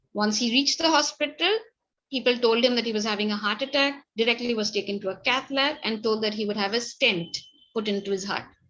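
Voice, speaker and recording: At a very fast pace, a woman speaks with a bright, sharp tone, a fairly high pitch and ordinary pitch variation. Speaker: doctor giving medical training lecture. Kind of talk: online lecture.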